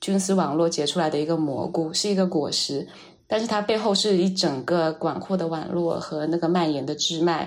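At a fairly quick pace, a woman with an unremarkable speaking voice talks at a fairly low pitch with ordinary pitch variation. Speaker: artist. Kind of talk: interview conversation.

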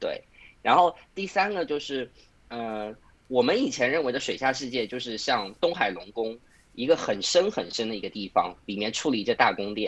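At a moderate pace, a man of medium pitch talks with very wide pitch swings. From Suzhou, China. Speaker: podcast host and online video maker. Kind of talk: casual chat.

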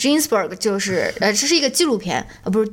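The voice belongs to a woman. She speaks with lively intonation. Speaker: podcast co-host. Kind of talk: casual chat.

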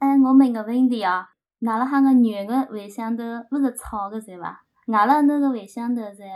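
At a moderate pace, a woman with a normal speaking voice talks at a fairly high pitch with fairly even intonation and big swings in loudness. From Shangyu, Shaoxing, Zhejiang. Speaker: podcast guest. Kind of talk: casual chat.

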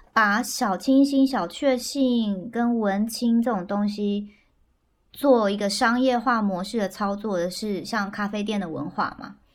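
Speaking at a fairly slow pace, a woman shows ordinary pitch variation on a very clean recording with a silent background. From central Taiwan. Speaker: podcast guest. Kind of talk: casual chat. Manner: lively.

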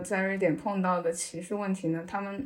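Speaking at a moderate pace, a woman has an unremarkable speaking voice at a medium pitch. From China. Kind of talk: podcast interview.

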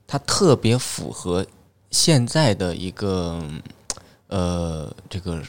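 The voice has lively intonation and a slight Northeastern Chinese accent. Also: man. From Northeast China. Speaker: stand-up comedian. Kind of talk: casual chat.

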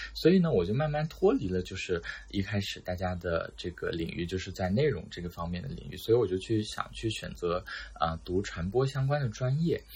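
A man speaks fairly quickly in a fairly low, somewhat breathy voice. His pitch swings very widely. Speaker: new journalism graduate job seeker. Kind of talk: casual chat.

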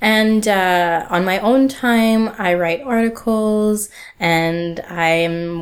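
With a plain, everyday voice, a woman talks at a medium pitch with ordinary pitch variation. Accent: Canadian. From Canada, Ottawa. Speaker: museology graduate. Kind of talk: casual chat.

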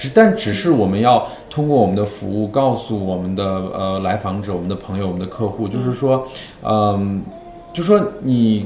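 A medium-pitched man talking fairly quickly, with audible room echo and noticeable background noise. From northern China. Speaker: LGBT health charity worker. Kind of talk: casual interview.

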